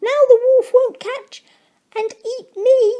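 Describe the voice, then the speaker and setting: A squeaky, put-on character voice at an extremely high pitch, delivered at a fairly slow pace. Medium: read story.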